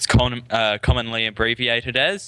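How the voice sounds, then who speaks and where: This man's voice sits at a medium pitch. His tone is bright and sharp. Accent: New Zealand. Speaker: gaming tutorial creator. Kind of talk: tutorial. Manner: casual, with fillers and restarts.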